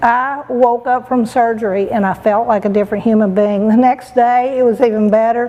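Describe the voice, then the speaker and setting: A woman with a fairly high pitch speaks at a moderate pace, her intonation monotone and flat and her loudness very even. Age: 60s. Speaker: patient. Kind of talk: testimony. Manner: halting.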